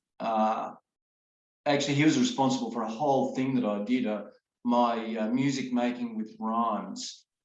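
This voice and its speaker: With an Australian accent, this voice moves at a fairly slow pace with fairly even intonation. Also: man. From Sydney, Australia. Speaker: children's songwriter, retired music teacher. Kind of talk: interview answer.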